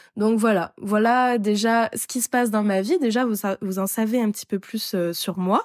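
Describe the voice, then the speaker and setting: In a very clean recording with a silent background and a dry, close sound with no echo, a woman speaks at a fairly slow pace with a fairly high pitch and fairly even intonation. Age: 20s. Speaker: podcast host. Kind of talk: solo podcast monologue. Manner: casual, hesitant with many fillers.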